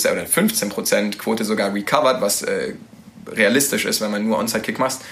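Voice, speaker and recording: The room echo is audible, and background noise is noticeable. A man talks at a moderate pace. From Nuremberg, Franconia (Bavaria). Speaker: American football quarterback. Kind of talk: casual interview. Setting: studio.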